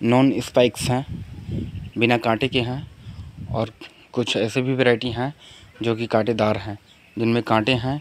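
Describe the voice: Speaking at a fairly slow pace, a man keeps his medium pitch with little movement.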